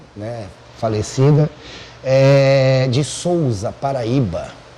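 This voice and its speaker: Someone with a Buenos Aires accent talks at a very slow pace over noticeable background noise. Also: man. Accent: Buenos Aires Spanish-tinged Portuguese. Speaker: podcast host. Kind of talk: casual chat.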